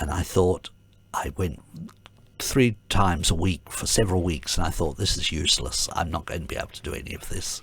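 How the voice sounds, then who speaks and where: A man's very deep, low pitch with vocal fry, ordinary pitch variation and a fairly quick pace. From Adelaide, Australia. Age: 70s. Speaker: retired ballet dancer and artistic director. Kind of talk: interview. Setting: radio studio. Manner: halting, many fillers.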